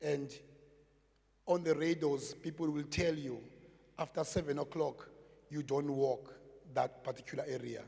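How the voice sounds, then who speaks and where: A man with a South African accent talks at a moderate pace, fairly high in pitch, with a dark, mellow, somewhat breathy tone. His intonation stays monotone and flat, broken by long, frequent pauses. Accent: South African (Xhosa) English. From South Africa, Cape Town (Gugulethu). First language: Xhosa. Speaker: community project manager, former gangster. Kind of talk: public talk. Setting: stage with audience.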